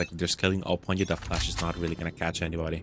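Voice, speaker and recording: A man with a non-native accent at a very fast pace, with noticeable background noise. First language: not English. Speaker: esports caster. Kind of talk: live commentary.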